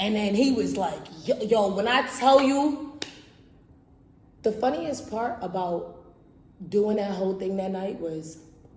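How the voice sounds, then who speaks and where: A woman speaks in an animated tone with lively intonation, at a fairly slow pace with long, frequent pauses. Audible room echo and noticeable background noise surround her. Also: medium pitch for a woman. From Barbados. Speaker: podcast host. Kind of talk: casual storytelling monologue. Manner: loud.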